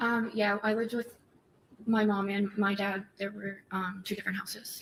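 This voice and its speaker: Soft-spoken and in an American accent, a woman talks at a medium pitch with monotone, flat intonation. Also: moderate pace. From Massachusetts (Methuen). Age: 20s. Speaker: trial witness. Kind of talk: court testimony. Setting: courtroom. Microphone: too far from the mic, hard to hear.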